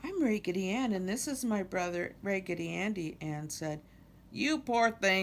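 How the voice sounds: Someone reads in a natural voice. The intonation is lively.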